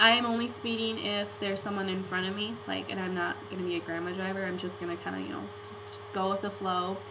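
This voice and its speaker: Against noticeable background noise, a woman talks very fast with ordinary pitch variation. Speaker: vlogger. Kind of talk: casual vlog chat. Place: home room. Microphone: webcam.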